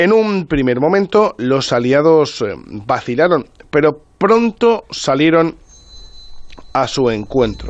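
A man speaks at a very slow pace, his pitch fairly high. His voice swings very widely in pitch. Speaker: radio reporter and storyteller. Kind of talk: storytelling radio segment.

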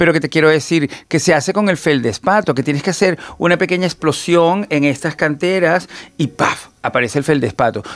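In a normal speaking voice, a man talks at a fairly high pitch and a fairly quick pace, with ordinary pitch variation, very even loudness, and hardly any pauses. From Venezuela. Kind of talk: casual chat.

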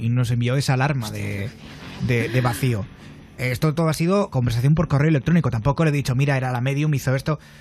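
A man talks very fast. Behind him, music is playing. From Valencia, Spain. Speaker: radio host. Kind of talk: late-night radio show. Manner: animated.

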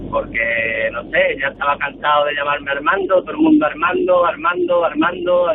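With noticeable background noise behind him, a man talks at a moderate pace in a fairly high pitch with ordinary pitch variation. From Huelva, Andalusia, Spain. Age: 20s. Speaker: radio caller. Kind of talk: casual chat.

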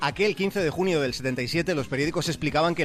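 A man speaks at a fairly quick pace with ordinary pitch variation. Music plays in the background. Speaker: radio contributor. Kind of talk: radio segment narration.

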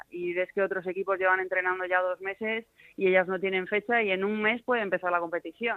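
The woman talks at a fairly quick pace. Her medium-pitched delivery is monotone and flat. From Spain, Madrid region. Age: 30s. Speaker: retired football goalkeeper. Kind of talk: interview.

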